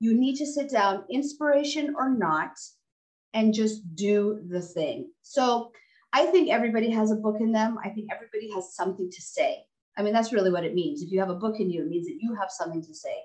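Fairly high-pitched, somewhat breathy woman's voice with an American accent, lively intonation and a fairly quick pace. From Texas. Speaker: doctor and author. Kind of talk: interview.

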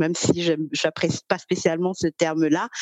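A woman's fairly low voice moves along at a fairly slow pace. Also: dry, close sound with no echo. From Cameroon. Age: 30s. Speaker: career coach. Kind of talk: interview. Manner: hesitant, many fillers.

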